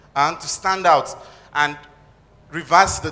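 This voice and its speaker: A man speaks with a plain, everyday voice. His pace is moderate and his intonation fairly even. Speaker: audience member, fashion designer; audience member. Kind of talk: audience question. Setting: audience at live event. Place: hall. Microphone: handheld.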